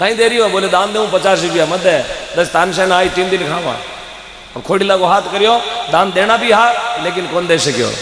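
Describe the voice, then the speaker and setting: With audible room echo and light background noise, a man speaks at a moderate pace with ordinary pitch variation. He leaves long, frequent pauses. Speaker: religious preacher. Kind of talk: sermon. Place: stage. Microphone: handheld.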